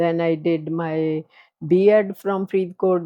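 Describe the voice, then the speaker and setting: A woman with a Punjabi Indian accent, fairly low in pitch, with monotone, flat intonation. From Punjab, India (born near Lahore). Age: 80s+. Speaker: retired transit operator and former professor. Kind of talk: life story interview. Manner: hesitant, with many fillers.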